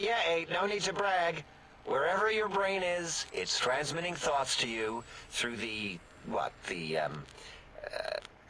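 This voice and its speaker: Through clear background noise, a man puts on a high-pitched character voice at a fairly slow pace. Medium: machinima. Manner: whiny, defensive.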